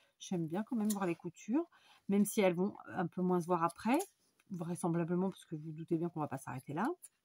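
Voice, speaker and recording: In a dark, mellow, somewhat breathy tone, a woman of medium pitch talks at a fairly quick pace, the sound dry and close with no echo. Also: long, frequent pauses. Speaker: crafts tutorial maker. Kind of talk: tutorial. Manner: casual, hesitant with many fillers.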